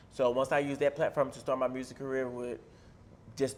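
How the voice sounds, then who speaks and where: A man talks with an Atlanta accent. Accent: Southern Atlanta twang. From US South, Atlanta, Georgia. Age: 30s. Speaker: rapper and reality TV personality. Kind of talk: casual interview.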